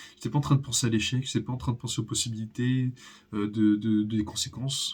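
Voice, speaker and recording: The man speaks at a medium pitch, somewhat breathy, with ordinary pitch variation. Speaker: youtuber. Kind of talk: personal vlog monologue. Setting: home recording, natural daylight. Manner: halting, many pauses.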